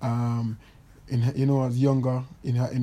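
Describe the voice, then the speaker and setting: A somewhat breathy male voice at medium pitch with a dark, mellow tone. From Jamaica. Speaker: Olympic athlete and podcast host. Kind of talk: casual monologue. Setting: recording in bed at home. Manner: animated.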